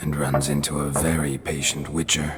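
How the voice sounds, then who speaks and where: A man puts on a character voice with a very deep, low pitch and monotone, flat intonation. He goes at a moderate pace over clear background noise. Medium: short film. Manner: terse, dry.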